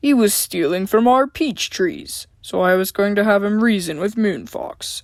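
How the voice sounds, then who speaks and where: A gruff, put-on character voice delivers the lines at a moderate pace. The intonation is lively. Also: woman, medium pitch for a woman. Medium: read story. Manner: gruff, snorting.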